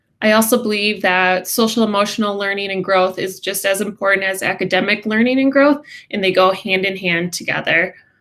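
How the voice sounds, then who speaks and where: Bright and sharp in tone, a woman speaks at medium pitch and a moderate pace with an American accent. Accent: Midwest accent, according to others. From Wisconsin, US Midwest. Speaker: special education teacher. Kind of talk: class information presentation.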